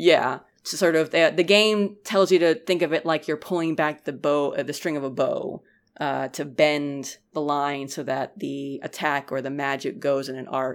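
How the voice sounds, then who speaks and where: The recording is very clean, with a silent background. A woman with a very deep, low pitch speaks at a moderate pace with ordinary pitch variation. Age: 30s. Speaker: game reviewer. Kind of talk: casual chat.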